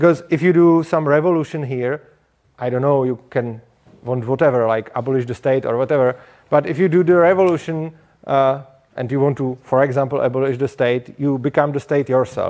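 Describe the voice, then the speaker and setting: In a Czech accent, a man speaks at a fairly quick pace, fairly high in pitch, with fairly even intonation. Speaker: speaker at a liberty conference. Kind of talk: conference talk. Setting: stage with audience. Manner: halting.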